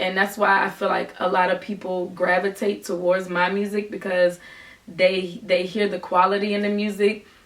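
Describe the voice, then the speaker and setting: Noticeable background noise sits under a woman of medium pitch. She talks at a moderate pace with monotone, flat intonation. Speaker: rapper. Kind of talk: vlog monologue.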